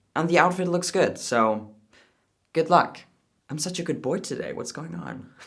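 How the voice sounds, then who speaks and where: A man speaks with a Danish accent at a moderate pace. His intonation is lively. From Denmark. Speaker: YouTuber, commentator. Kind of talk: reaction commentary and thank-you message to viewers.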